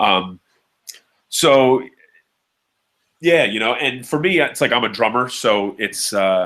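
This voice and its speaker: A man talks loudly at a very slow pace, leaving long, frequent pauses. His intonation is lively. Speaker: drummer. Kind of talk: casual chat.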